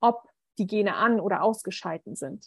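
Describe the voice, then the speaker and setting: Speaking at a fairly high pitch, a woman sounds somewhat breathy, with lively intonation and a dry, close sound with no echo. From Berlin, Germany. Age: 30s. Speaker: medical student and coach. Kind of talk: interview conversation. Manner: hesitant, many filler sounds.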